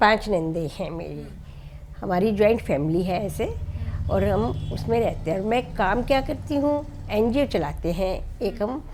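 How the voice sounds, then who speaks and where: A woman of medium pitch speaks with very wide pitch swings. Noticeable background noise and audible room echo surround her. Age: 60s. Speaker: NGO founder. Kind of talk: interview. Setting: at home.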